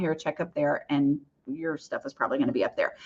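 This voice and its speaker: It's a woman talking. Things are quiet behind her. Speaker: decluttering author and live Q&A host. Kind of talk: live Q&A. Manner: fast; casual, chatty.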